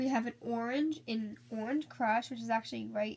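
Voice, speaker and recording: Fairly high in pitch and somewhat breathy, a woman talks at a moderate pace with fairly even intonation. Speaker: beauty vlogger. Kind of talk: haul video. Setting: filming at home, poor lighting. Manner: casual, chatty. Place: home room. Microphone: phone near.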